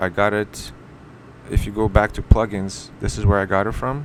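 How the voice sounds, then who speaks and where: A fairly low-pitched man at a moderate pace, with ordinary pitch variation, amid noticeable background noise. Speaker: web design tutorial maker. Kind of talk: screen-recorded tutorial. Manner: casual, with self-corrections.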